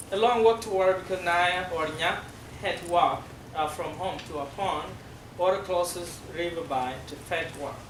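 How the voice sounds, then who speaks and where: A high-pitched man with a South Sudanese accent, ordinary pitch variation and a moderate pace, amid noticeable background noise and audible room echo. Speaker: former refugee speaker at a school. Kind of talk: classroom presentation.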